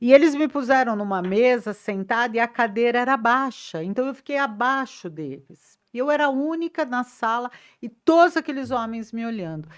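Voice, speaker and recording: Speaking at a moderate pace with hardly any pauses, a woman uses a high pitch and lively intonation. The recording is very clean, with a silent background. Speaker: press officer. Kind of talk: interview. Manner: animated.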